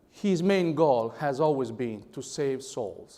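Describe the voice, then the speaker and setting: This is a man with an Italian accent. His voice sits fairly high in pitch. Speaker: conference speaker. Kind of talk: speech.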